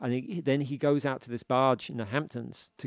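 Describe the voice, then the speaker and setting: The background is quiet. A man with a British accent speaks at a medium pitch. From UK. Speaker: author. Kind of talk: casual chat.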